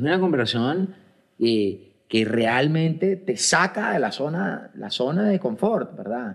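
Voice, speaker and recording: A man talks at a very slow pace with a fairly high pitch. His pitch swings very widely. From Colombia. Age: 40s. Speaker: podcast host. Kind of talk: casual chat. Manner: halting, with frequent repetitions and fillers.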